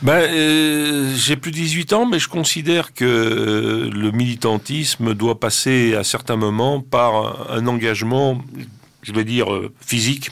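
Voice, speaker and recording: Over noticeable background noise, a man talks at a very slow pace and medium pitch with ordinary pitch variation. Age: 60s. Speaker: cultural association president. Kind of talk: radio interview. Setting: studio. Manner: halting.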